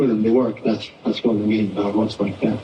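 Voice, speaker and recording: A man is speaking. He has a rural Southwestern US accent. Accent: American Southwest rural. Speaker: cowboy. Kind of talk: storytelling presentation. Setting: live audience talk. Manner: unpolished, plain-spoken.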